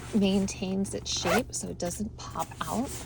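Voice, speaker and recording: A soft-spoken woman talks at a fairly slow pace. Noticeable background noise can be heard. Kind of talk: casual talk to camera. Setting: in a car.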